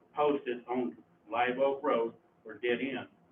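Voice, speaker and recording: Noticeable background noise fills the recording. Through it, a man talks with an American accent. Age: 60s. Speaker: resident speaking at public comment. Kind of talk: public comment at county meeting. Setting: county commissioners court meeting.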